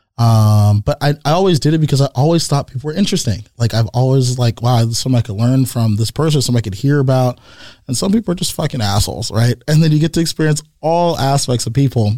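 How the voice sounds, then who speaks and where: Speaking very fast with hardly any pauses, a voice with an American accent sounds somewhat breathy and dark, mellow in tone, with ordinary pitch variation and a dry, close sound with no echo. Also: man, medium pitch for a man. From US West Coast, San Jose, California. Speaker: entrepreneur. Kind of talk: casual chat.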